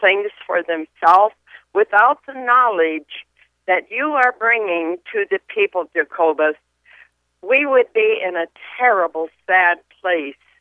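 A woman's fairly high voice with lively intonation at a fairly slow pace, a plain, everyday voice. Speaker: caller. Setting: phone call.

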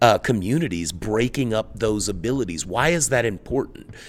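In a very clean recording with a silent background, a man with an American accent uses an ordinary speaking voice, medium in pitch, with ordinary pitch variation. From US South, Jackson, Mississippi. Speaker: criminal justice policy analyst. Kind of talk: interview. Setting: conference sidelines.

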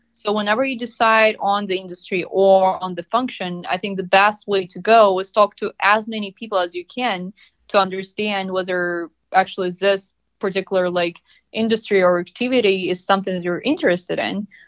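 A woman's medium-pitched voice with a Russian accent, fairly quick and fairly even in intonation, in a dry, close sound with no echo. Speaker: marketing analytics consultant. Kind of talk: interview.

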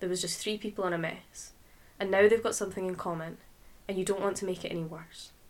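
Intonation stays fairly even in this natural reading voice.

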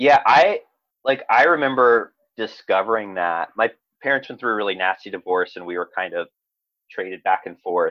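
At a moderate pace, a man with an ordinary speaking voice and medium pitch talks with big swings in loudness. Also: lively intonation. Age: 30s. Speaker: actor and comedian. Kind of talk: casual chat.

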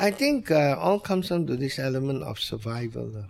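A man speaks with a Malaysian accent. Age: 70s. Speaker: restaurant owner. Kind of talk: interview.

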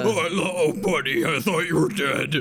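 Fairly slow, high-pitched put-on character voice from a man. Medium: actual play. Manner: friendly, chatty.

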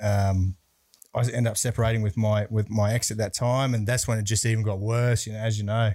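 The speaker is a man with a medium pitch and fairly even intonation. He talks at a fairly quick pace. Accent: Australian. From Brisbane, Australia. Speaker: bodyguard and security business owner. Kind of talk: casual interview chat.

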